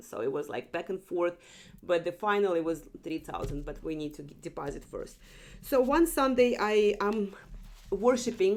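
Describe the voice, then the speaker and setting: With a non-native accent, a woman speaks at medium pitch and a moderate pace, her intonation lively. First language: not English. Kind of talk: testimony. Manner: halting, self-correcting.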